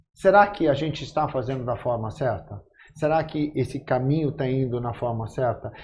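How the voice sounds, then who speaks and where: This man's voice sits at a medium pitch and is somewhat breathy. His pitch varies in an ordinary way. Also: moderate pace. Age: 60s. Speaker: actor, podcast guest. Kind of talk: casual chat.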